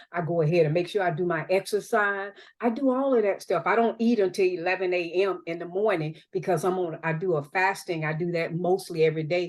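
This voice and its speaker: A woman with a Southern US accent, fairly low in pitch, at a fairly quick pace with hardly any pauses, against a quiet background. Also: ordinary pitch variation. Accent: Southern US (Georgia). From US South, Georgia (Albany). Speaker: real estate broker and mentor. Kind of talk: training talk. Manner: fast; animated.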